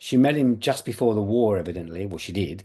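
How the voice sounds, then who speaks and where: Over a quiet background, a man with a dark, mellow tone speaks at a medium pitch and a fairly quick pace with lively intonation. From London, England. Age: 70s. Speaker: actor. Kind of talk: interview.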